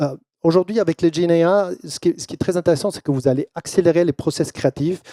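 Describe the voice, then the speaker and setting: Dry, close sound without echo around a man's dark, mellow tone. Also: very clean recording, silent background. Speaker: keynote speaker, brand and AI consultant. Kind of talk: keynote presentation. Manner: halting, many fillers and repetitions.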